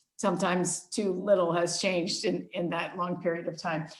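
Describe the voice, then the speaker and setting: With audible room echo, a woman speaks in an American accent. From United States. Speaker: global union leader. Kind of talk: interview.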